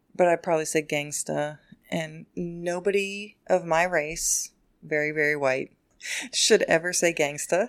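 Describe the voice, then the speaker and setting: On a very clean recording with a silent background, a woman with an ordinary speaking voice speaks at a fairly slow pace, her fairly low pitch kept to fairly even intonation. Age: middle-aged. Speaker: podcast co-host. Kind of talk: casual chat.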